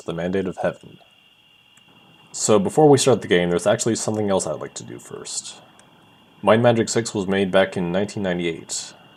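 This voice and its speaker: A man speaks at a fairly quick pace with a fairly low pitch and ordinary pitch variation. His loudness swings widely, and he leaves long, frequent pauses. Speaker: amateur let's player and voice actor. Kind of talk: casual let's play commentary.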